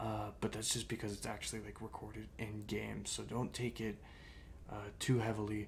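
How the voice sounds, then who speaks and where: A man speaks at a very fast pace with audible room echo. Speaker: gaming YouTuber. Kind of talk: gameplay commentary. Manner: casual, hesitant with fillers.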